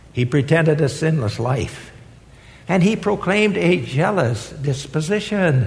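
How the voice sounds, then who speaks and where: Amid audible room echo, a man with a fairly high voice speaks at a fairly slow pace, with very wide pitch swings and very even loudness. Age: 80s+. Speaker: retired seminary professor and guest preacher. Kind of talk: sermon.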